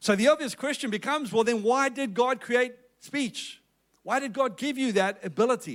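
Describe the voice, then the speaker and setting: An extremely high-pitched man's voice with a South African accent and ordinary pitch variation, on a very clean recording with a silent background. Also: moderate pace. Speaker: pastor. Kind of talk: sermon. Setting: church with congregation.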